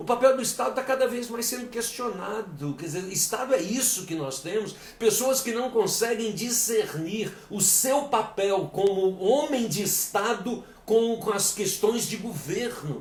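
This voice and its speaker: With audible room echo and noticeable background noise, a man speaks fairly slowly at a high pitch, with ordinary pitch variation and hardly any pauses. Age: 60s. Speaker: lecturer and coach. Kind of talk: live-stream lecture. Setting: live stream. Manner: halting, repeats words.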